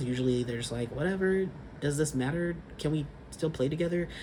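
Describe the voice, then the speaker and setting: Ordinary pitch variation in a Californian accent, with audible room echo. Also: man. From California, Sacramento. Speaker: vlogger. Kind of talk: casual vlog monologue.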